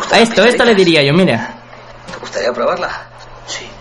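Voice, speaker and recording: With music in the background, a man speaks in a raised, projected voice at a high pitch with lively intonation. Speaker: podcast host. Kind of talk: comedic monologue. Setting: radio studio. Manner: casual.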